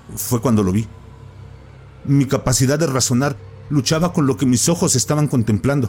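A man's dramatic tone at medium pitch and moderate pace, with ordinary pitch variation, very even loudness, long, frequent pauses, and music in the background. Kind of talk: ghost story telling, first-person horror narration. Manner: hushed, suspenseful, dramatic pacing with pauses; halting, breathless at the frightening peaks.

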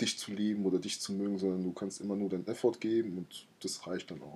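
A man's fairly low, dark and mellow voice at a moderate pace. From Germany, Mainz area. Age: 20s. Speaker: podcast co-host. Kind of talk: casual chat.

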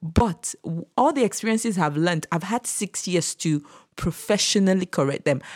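A woman speaks at a moderate pace and medium pitch in a plain, everyday voice. The sound is dry and close with no echo, in a very clean recording with a silent background. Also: lively intonation. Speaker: childcare specialist and guest. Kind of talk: casual interview chat.

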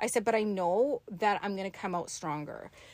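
Recorded very cleanly against a silent background, a woman speaks at a medium pitch with ordinary pitch variation. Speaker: spiritual teacher. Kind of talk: casual chat. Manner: soft-spoken.

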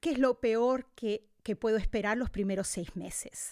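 The sound is dry and close with no echo as a woman speaks very slowly in a fairly high voice. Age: 50s. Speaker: podcast host and wellness teacher. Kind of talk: casual chat.

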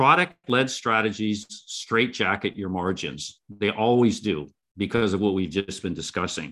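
A man's fairly low voice, bright and sharp in tone, fairly slow but with hardly any pauses, and lively in intonation. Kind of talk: casual interview. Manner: measured, filler words.

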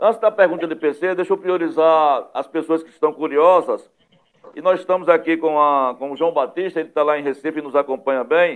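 This man speaks at a fairly quick pace. His pitch sits fairly high. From Northeast Brazil, Pernambuco sertão. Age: 50s. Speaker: web TV news host. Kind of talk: talk show interview. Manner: animated.

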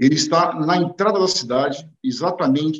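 Fairly slow and fairly high-pitched, a man is speaking. His pitch varies in an ordinary way. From Brazil, São Paulo city. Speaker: entrepreneur. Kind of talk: interview. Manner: halting, many fillers.

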